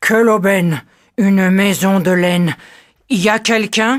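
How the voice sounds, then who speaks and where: A female-sounding voice puts on a gruff character voice at medium pitch. The pace is moderate. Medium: read story.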